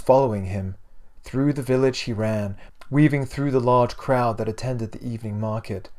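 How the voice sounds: With ordinary pitch variation, the clip presents a natural reading voice.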